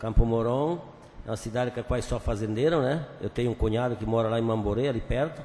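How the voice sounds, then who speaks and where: A man with fairly even intonation rattles along at a very fast pace. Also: medium pitch for a man. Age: 60s. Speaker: city councillor. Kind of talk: council session remarks.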